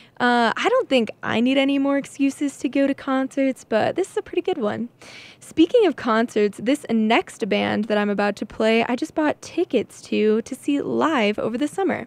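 A woman talks at a high pitch with lively intonation and a moderate pace. Her sound is dry, with no echo. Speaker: college radio DJ. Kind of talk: radio DJ chatting between songs. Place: studio.

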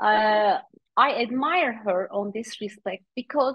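A woman with a Turkish accent, dry sound without echo, quiet background. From Turkey. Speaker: author and coach; coach. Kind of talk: interview. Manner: hesitant, frequent fillers. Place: home room. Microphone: video call.

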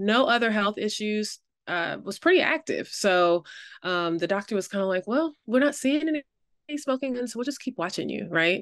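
Delivered at a moderate pace, the voice makes very wide pitch swings in a dry sound with no echo. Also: woman, quiet background. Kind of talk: interview answer. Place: home room. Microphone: webcam.

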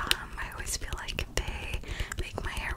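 There is noticeable background noise. Through it, a woman whispers fairly slowly. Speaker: ASMR creator. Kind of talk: ASMR whisper ramble. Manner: whispered.

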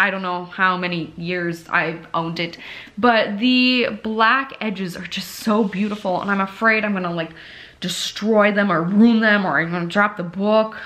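Here a woman talks at a moderate pace and a medium pitch. Her pitch varies in an ordinary way. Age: 20s. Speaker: booktube vlogger. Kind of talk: casual vlog. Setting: in her bedroom. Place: home room. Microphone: phone near.

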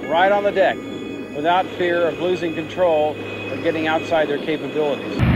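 Someone talks at a fairly quick pace with noticeable background noise. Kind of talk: documentary narration. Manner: formal, steady, authoritative.

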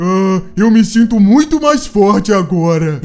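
A man uses a put-on character voice pitched high. He delivers it at a fairly slow pace. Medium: machinima. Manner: calm, friendly, naive.

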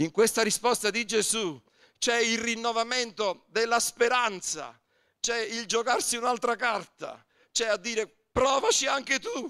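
A man speaks at a fairly slow pace in a raised, projected voice with a bright, sharp tone. His pitch is extremely high, over a quiet background. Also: ordinary pitch variation. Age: 60s. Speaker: pastor. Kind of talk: sermon. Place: church. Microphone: handheld.

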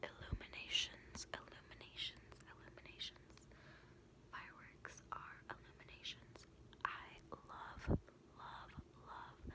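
A woman whispers at a fairly slow pace. She pauses long and often. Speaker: content creator. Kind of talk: ASMR-style repeated word trigger talk. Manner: intimate close-mic whisper. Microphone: phone near.

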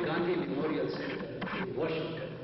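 Noticeable background noise and strong room echo fill the space around this man as he talks. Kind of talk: formal announcements. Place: hall. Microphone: camera far.

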